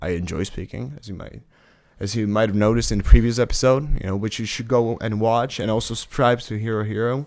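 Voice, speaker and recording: The speaker is a man with a fairly low pitch. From Czech Republic. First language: Czech. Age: 20s. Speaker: student. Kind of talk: podcast interview. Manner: halting with fillers.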